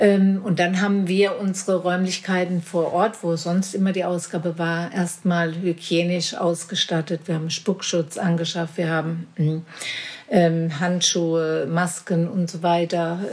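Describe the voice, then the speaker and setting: A woman's fairly low, monotone voice with flat intonation, at a fairly slow pace amid noticeable background noise. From Marburg, Hesse, Germany. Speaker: charity chairwoman. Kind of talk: casual interview.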